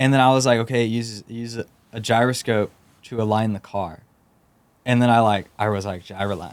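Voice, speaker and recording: A man with a Texan accent at a fairly quick pace, with big swings in loudness. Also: medium pitch for a man. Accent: Texan American. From Texas, San Antonio. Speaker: startup founder. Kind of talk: podcast interview. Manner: halting, many fillers and repeats.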